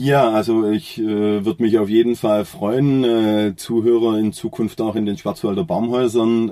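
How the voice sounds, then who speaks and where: The recording is very clean, with a silent background. A man speaks at a medium pitch with fairly even intonation and a dark, mellow tone. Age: 40s. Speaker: carpenter and joiner. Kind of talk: interview. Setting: studio, face to face. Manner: hesitant, many filler sounds.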